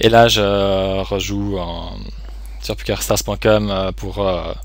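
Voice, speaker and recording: Audible room echo and noticeable background noise surround the recording. A man speaks at a very slow pace. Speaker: online poker player and streamer. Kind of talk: live gameplay commentary. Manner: halting, many fillers.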